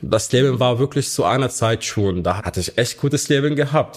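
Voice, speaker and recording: Medium pitch from a man, with ordinary variation in pitch. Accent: Arabic. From Syria, Hama. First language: Arabic (speaking German). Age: 20s. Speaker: refugee aid volunteer coordinator. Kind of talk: interview. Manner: halting.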